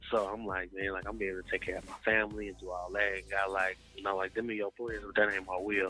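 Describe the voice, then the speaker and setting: A man with an American accent, fairly low pitch, flat monotone intonation, hardly any pauses and a very fast pace. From Chicago, US Midwest. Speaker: gospel recording artist. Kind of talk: interview. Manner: casual, with many fillers.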